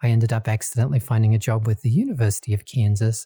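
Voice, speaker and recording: A man with an American accent, fairly low pitch, a dark, mellow, somewhat breathy tone and a very fast pace, on a very clean, dry, close recording with no echo and a silent background. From Australia. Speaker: nonprofit lending executive. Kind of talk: interview.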